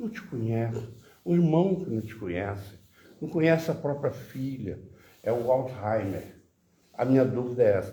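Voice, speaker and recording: A man with a dark, mellow tone speaks at medium pitch and a moderate pace, with lively intonation and big swings in loudness. Long, frequent pauses break up his speech, and the room echo is audible. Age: 80s+. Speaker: audience member asking questions. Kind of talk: Q&A discussion.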